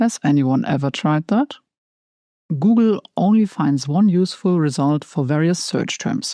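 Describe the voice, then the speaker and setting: With a dark, mellow tone and fairly low pitch, a woman speaks at a fairly slow pace, her pitch swinging very widely while her loudness stays very even, in a dry, close sound with no echo. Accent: German. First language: German. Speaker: tarot content creator. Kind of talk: scripted narration.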